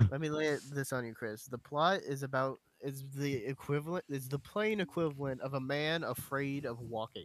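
A man's plain, everyday voice at a moderate pace, with hardly any pauses and ordinary pitch variation. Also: fairly high pitch for a man. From US, moved around (Navy family). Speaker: podcast co-host. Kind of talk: casual chat.

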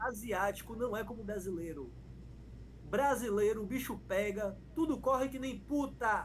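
A man with a high pitch speaking at a fairly slow pace, with audible room echo. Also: ordinary pitch variation. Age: 30s. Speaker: pagode musician and internet personality. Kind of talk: casual chat.

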